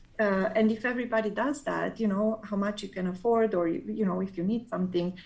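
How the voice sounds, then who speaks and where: A woman's somewhat breathy, medium-pitched voice at a very fast pace, with ordinary pitch variation. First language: not English. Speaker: quilter and pattern designer. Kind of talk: casual interview chat. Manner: halting, frequent fillers and restarts.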